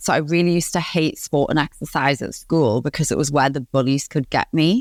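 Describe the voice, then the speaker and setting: A woman speaks with a Geordie accent at a moderate pace, her pitch varying in an ordinary way. The recording is very clean, dry and close, with a silent background and no echo. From northeast England, Newcastle upon Tyne. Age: 30s. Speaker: positive psychologist and coach. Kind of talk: podcast interview.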